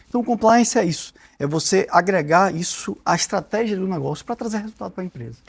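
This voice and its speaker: The speaker talks fairly quickly with lively intonation in a Bahian accent. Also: man, high pitch for a man. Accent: Bahian (Salvador) Portuguese accent, retained. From Brazil, Salvador (Bahia). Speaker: corporate integrity executive, lawyer. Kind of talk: podcast interview. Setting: podcast studio.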